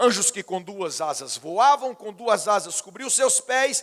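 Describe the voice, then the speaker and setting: At a fairly slow pace, a man talks with a high pitch and lively intonation. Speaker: pastor. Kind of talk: sermon.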